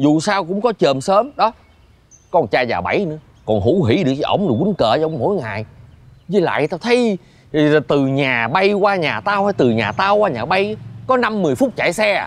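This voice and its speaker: A man talks in a high pitch with very wide pitch swings. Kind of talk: scripted drama dialogue. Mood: mildly exasperated, persuasive. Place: garden.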